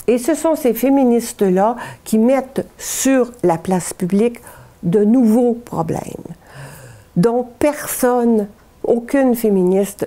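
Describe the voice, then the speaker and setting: Speaking at a very slow pace with very even loudness, a woman leaves long, frequent pauses against noticeable background noise. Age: 70s. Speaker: historian, professor emerita. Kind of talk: interview answer.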